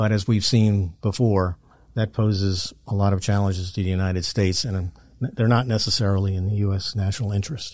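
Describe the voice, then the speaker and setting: A man with an American accent speaks in a fairly low pitch with fairly even intonation against a quiet background. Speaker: retired intelligence officer. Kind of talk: interview. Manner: halting.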